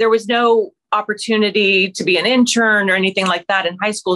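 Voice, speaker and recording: This is a woman with an American accent. Her pitch sits in the medium range. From West Virginia (Williamson, Appalachia). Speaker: TV news anchor and author. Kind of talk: interview.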